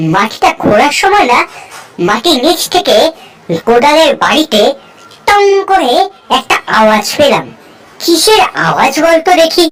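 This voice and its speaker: A woman performs a cartoonish character voice at a high pitch. Her pace is moderate and her loudness very even. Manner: chatty, lively.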